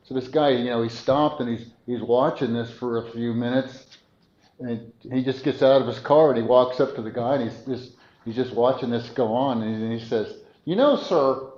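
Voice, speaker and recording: With audible room echo, a man speaks at a moderate pace in a monotone, flat delivery at a medium pitch. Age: 70s. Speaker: preacher. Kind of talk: sermon. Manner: halting; conversational.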